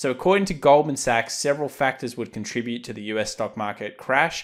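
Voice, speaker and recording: On a very clean recording with a silent background, a man with an Australian accent talks at a fairly quick pace. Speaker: market analysis youtuber. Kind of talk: market commentary video.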